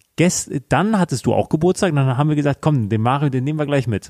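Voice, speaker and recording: A man with a dark, mellow tone uses lively intonation, recorded with a dry, close sound and no echo. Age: 20s. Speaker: finance podcast co-host. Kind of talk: casual chat.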